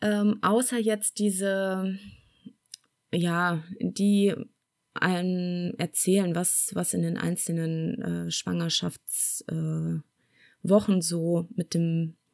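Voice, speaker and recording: At a very slow pace with long, frequent pauses, a woman speaks at a fairly low pitch on a very clean recording with a silent background. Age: 40s. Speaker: mother telling her birth stories. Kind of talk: casual interview.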